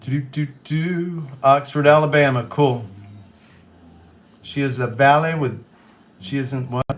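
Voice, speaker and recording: With a slight Kentucky accent, a man speaks in a fairly high pitch at a fairly slow pace, using fairly even intonation and long, frequent pauses. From Western Kentucky, US. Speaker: livestreamer. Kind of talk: casual chat.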